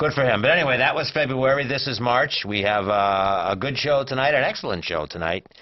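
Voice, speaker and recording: This man talks at a fairly quick pace with hardly any pauses. His intonation is lively and his pitch sits in the medium range. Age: 60s. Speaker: cable TV talk show co-host. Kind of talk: casual chat. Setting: studio. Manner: halting.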